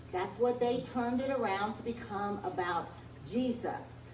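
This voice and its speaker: A woman speaks at a fairly high pitch and a fairly slow pace. Room echo can be heard. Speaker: minister giving Sunday message. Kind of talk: sermon. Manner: halting.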